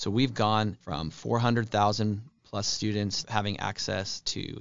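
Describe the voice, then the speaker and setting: In an American accent, a man with a fairly low pitch speaks with vocal fry and fairly even intonation. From Spokane, Washington. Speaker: state legislator. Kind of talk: interview. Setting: studio. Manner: frequent fillers (um, uh).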